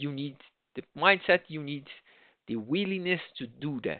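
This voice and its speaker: A man with a Portuguese accent is speaking. His pitch is fairly high and his pace moderate. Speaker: project management trainer. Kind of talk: online lecture. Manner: halting, with many restarts.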